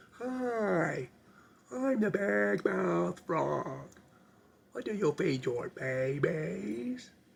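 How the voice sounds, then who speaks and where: A put-on character voice delivered at a very slow pace. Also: man, fairly high pitch for a man. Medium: solo performance. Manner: eager, repetitive.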